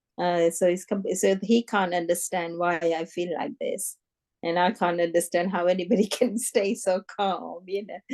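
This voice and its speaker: This is a normal speaking voice. It moves at a moderate pace with fairly even intonation. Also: woman, medium pitch for a woman. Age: 60s. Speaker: meditation participant. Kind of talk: Q&A discussion.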